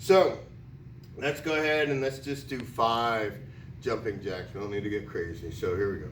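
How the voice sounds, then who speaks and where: A man with an American accent at medium pitch, animated in tone with lively intonation, at a moderate pace amid audible room echo. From US Northeast (Connecticut). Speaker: PE teacher. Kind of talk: tutorial. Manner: loud.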